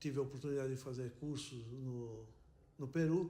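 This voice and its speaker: The tone is dark and mellow, somewhat breathy, and delivered at a moderate pace. Intonation stays flat and monotone, and there is audible room echo. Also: man. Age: 70s. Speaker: retired airline worker. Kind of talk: interview testimony.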